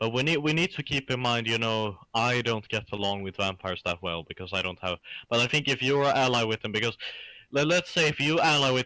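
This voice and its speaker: Lively intonation and a bright, sharp tone mark this fairly quick speech with a Swedish accent, recorded very cleanly with a silent background and a dry, close sound with no echo. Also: man. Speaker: gamer. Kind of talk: casual chat.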